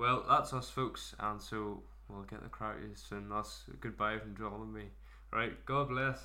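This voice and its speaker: Amid audible room echo, a man with a Northern Irish accent talks at a fairly slow pace with big swings in loudness. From Northern Ireland, Mourne area. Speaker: podcast host. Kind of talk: casual chat.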